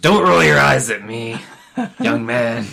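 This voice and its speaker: Putting on a character voice, a raspy man speaks at a fairly slow pace and medium pitch, his pitch swinging very widely. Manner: stern, scolding.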